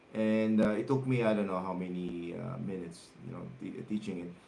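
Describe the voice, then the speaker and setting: A man with a Filipino accent talks at a moderate pace, with audible room echo around him. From Philippines. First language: Tagalog. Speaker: guitar teacher. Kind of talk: livestream guitar lesson, reading viewer comments. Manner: halting, many fillers and repetitions.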